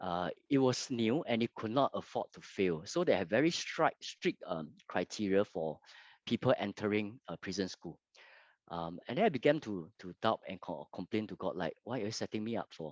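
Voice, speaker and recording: A man with a Fujianese accent speaks at a moderate pace in a fairly low voice with lively intonation, the sound dry and close with no echo over a quiet background. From Singapore. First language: Hokkien. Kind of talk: testimony. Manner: halting, many fillers.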